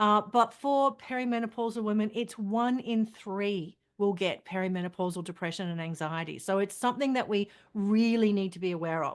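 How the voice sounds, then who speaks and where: Someone with an Australian accent talks at a fairly quick pace with ordinary pitch variation against a quiet background. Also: woman, medium pitch for a woman. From Australia, country Queensland. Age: 50s. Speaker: journalist and women's health advocate. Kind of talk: interview.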